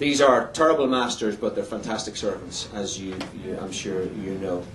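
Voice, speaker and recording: A man speaks at a moderate pace, his pitch swinging very widely. The room echo is audible, and background noise is noticeable. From Ireland, border area, later Northern Ireland. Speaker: missionary preacher. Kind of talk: testimony. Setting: church. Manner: halting, repeats words.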